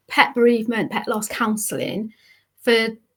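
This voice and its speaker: A speaker with a Welsh accent talks at a fairly slow pace. The recording is very clean, with a silent background. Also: woman. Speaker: pet bereavement counsellor. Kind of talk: interview, personal story.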